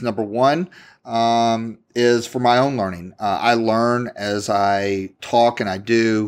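The recording is very clean, with a silent background. A man speaks at a medium pitch with fairly even intonation. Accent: American. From Kentucky, Louisville. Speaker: podcast host, entrepreneur. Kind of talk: motivational monologue. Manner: halting with many fillers.

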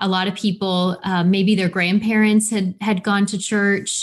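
A woman speaks in a somewhat breathy voice with monotone, flat intonation. The recording is very clean, with a silent background. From Missouri, US Midwest. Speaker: missionary. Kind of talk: casual interview.

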